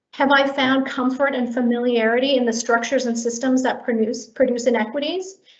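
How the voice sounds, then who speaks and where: A woman talks at a moderate pace in a high voice with fairly even intonation, and the room echo is audible. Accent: General American. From US West Coast, Korean immigrant community. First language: Korean. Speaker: public health HR director. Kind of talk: prepared remarks at online staff meeting.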